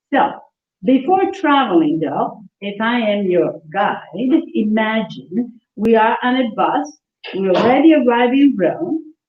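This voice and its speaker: Speaking very slowly in an Italian accent, a woman with a fairly high pitch lets her voice swing very widely. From central Italy (Umbria, Assisi). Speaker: Italian culture teacher. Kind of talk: class for seniors. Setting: senior center class, livestreamed. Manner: animated.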